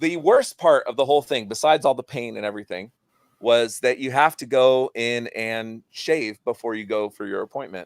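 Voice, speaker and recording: A man with a medium pitch and a plain, everyday voice talks fairly quickly, his pitch varying normally and his loudness swinging widely. The sound is dry and close with no echo, on a very clean recording with a silent background. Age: 30s. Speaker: podcast host. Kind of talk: casual chat.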